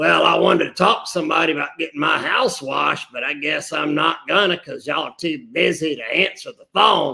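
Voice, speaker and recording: Using a put-on character voice, a man sounds raspy and grumpy, his pitch fairly high, talking at a fairly quick pace with hardly any pauses. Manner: grumpy, complaining.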